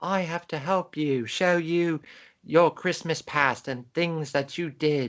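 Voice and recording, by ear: Putting on a character voice in a British accent, a man speaks fairly slowly at a fairly high pitch. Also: quiet background.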